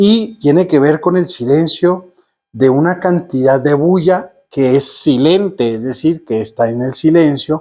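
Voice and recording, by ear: This man speaks slowly in a medium pitch with ordinary pitch variation. His voice is nasal with a slightly mellow tone.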